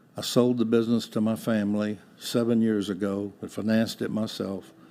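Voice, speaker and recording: A man speaks at a moderate pace with a dark, mellow tone. His fairly low voice stays monotone and flat. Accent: Texan. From Texas (Houston). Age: 80s+. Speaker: retired business owner. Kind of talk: interview.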